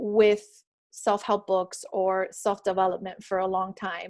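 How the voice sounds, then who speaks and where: Recorded very cleanly against a silent background, a woman talks at a fairly slow pace. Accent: slight Miami. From Miami. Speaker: author and spiritual speaker. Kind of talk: motivational talk on a group call. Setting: group call. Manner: unscripted, with many fillers.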